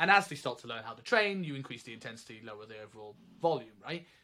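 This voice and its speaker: A bright, sharp male voice with a British accent at a very fast pace. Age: 30s. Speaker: personal trainer and coach educator. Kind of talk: casual chat. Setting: remote recording. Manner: halting, repeats words.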